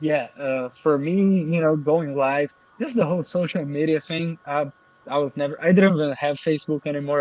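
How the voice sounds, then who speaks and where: Over noticeable background noise, a man with a fairly high voice speaks at a fairly quick pace with fairly even intonation. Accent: Portuguese. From Brazil. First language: Portuguese. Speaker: affiliate marketer. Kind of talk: interview.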